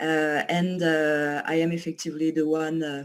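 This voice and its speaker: Someone with a strong French accent speaks at a very slow pace. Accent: pronounced French. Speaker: company associate presenting a service. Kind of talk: online presentation. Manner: hesitant, many fillers.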